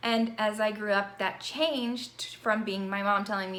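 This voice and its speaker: A woman's medium-pitched voice with an American accent at a moderate pace, amid noticeable background noise and audible room echo. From Virginia, US South. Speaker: university instructor. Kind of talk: course introduction video. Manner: conversational.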